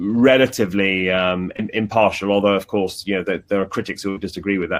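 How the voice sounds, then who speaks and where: A man speaks very fast in a fairly low pitch. He has a British accent. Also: fairly even intonation. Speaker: journalist. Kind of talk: interview. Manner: halting, many repetitions.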